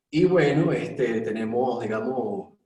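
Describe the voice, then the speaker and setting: A man speaks at a fairly slow pace. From Venezuela, Mérida. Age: 30s. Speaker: actor. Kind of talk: panel discussion.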